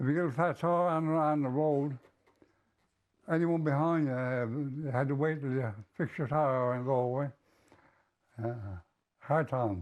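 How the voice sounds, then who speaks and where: Speaking in a Newfoundland accent, a man uses a fairly high pitch, ordinary pitch variation and a moderate pace. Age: 90s. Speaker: retired businessman. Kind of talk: interview.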